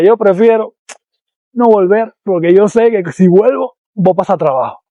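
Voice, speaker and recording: Using ordinary pitch variation, a man speaks at a moderate pace. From Cuba. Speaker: YouTuber, former nurse. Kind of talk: vlog monologue.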